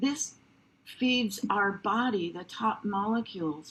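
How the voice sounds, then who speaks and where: A woman speaks in a somewhat breathy voice at a medium pitch. Her pitch rises and falls in an ordinary way. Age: 70s. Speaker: wellness product presenter. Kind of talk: sales pitch. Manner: animated.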